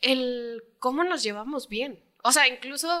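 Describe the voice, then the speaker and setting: A woman's raised, projected voice, bright and sharp in tone, with lively intonation. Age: 20s. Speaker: footballer's daughter. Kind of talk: casual family chat.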